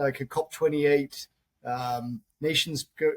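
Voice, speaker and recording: A man with a British accent speaks with monotone, flat intonation in a dry, close sound with no echo. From UK. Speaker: mining company CEO. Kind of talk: interview.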